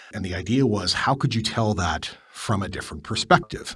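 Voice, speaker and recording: The man has an ordinary speaking voice, fairly low in pitch, with lively intonation. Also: fairly quick pace. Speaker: aspiring voice actor practicing voice work. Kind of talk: casual talk to camera, vlog. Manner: conversational, self-reflective.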